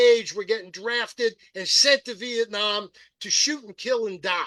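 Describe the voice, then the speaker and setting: This man, with an American accent, speaks in a raised, projected voice at an extremely high pitch, at a fairly slow pace, with big swings in loudness and a bright, sharp tone, all in a dry, close sound with no echo. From US, rural Pennsylvania (Perry County). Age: 70s. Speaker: political activist and radio host. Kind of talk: podcast interview. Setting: live-streamed podcast. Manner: emphatic.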